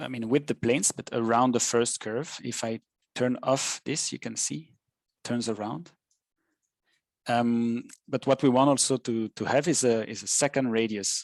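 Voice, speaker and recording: With a French accent, a man speaks at a moderate pace and with ordinary pitch variation. The sound is dry and close with no echo, and the background is quiet. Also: medium pitch for a man. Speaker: software tutor. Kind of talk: tutorial. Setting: live webinar. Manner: halting, many fillers.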